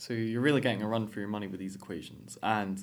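A man with a fairly low voice talks at a very fast pace. The room echo is audible. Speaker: student podcast host. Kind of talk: interview.

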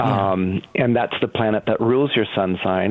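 Noticeable background noise surrounds this man's speech. His pitch varies in an ordinary way. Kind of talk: informative interview.

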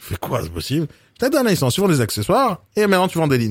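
His pitch ranges very widely. The man races along at a very fast pace. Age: 40s. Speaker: podcast host. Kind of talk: interview.

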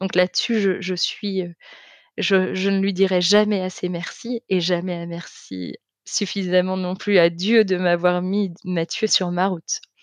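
Against a quiet background, a woman speaks at a medium pitch and fairly slow pace in a monotone, flat intonation, the sound dry and close with no echo. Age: 30s. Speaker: testimony guest, soap maker. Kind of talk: testimony. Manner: halting, many hesitations.

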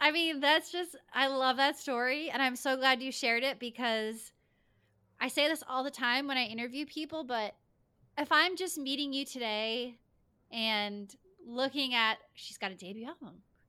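A woman's raised, projected voice, high, bright and sharp, at a moderate pace with ordinary pitch variation on a very clean recording with a silent background. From Rhode Island. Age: 30s. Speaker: podcast host. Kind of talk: casual interview.

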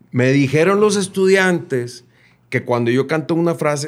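In a very clean recording with a silent background, a man uses an ordinary speaking voice, with lively intonation at a moderate pace. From Monterrey, Mexico. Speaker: singer-songwriter. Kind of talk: casual interview chat.

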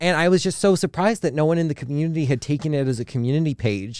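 Here a man speaks at a very fast pace, his fairly high pitch showing ordinary variation. The recording is very clean, with a silent background. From Hawaii. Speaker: food blogger. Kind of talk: casual chat.

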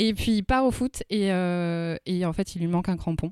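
An unremarkable speaking voice moves at a fairly slow pace with ordinary pitch variation. The sound is dry and close with no echo, in a very clean recording with a silent background. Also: woman. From Bordeaux area, France. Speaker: podcast panelist. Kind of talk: casual chat.

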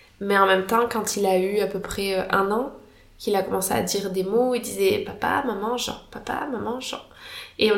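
This woman talks at a moderate pace in a medium pitch, with fairly even intonation. Audible room echo surrounds her voice. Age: 30s. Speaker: doctor and mother. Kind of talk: casual interview, personal testimony. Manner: hesitant, many fillers.

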